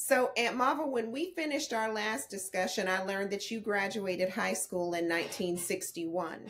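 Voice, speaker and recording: In an American accent, a woman talks with lively intonation. She keeps a moderate pace with hardly any pauses. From Texas. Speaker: interviewer, family historian; interviewer. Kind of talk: family interview. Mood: warm, respectful. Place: home room.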